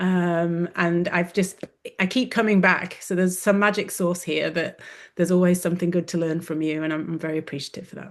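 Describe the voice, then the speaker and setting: A woman with an English accent speaks at a fairly quick pace in a fairly low pitch. The background is quiet. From England. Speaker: wellness coach, former orthodontist. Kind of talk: webinar interview.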